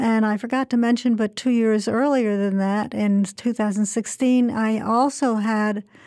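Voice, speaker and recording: Her voice is fairly high with a dark, mellow tone, as this woman speaks at a moderate pace with fairly even intonation in a very clean recording with a silent background. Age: 80s+. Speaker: retired biologist and cancer survivor. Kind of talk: interview. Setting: radio studio.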